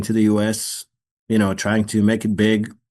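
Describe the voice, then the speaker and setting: In a quiet background, a man moves through his words at a fairly quick pace. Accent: Israeli. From Israel. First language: Hebrew. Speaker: actor. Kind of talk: interview. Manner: halting, repeats words.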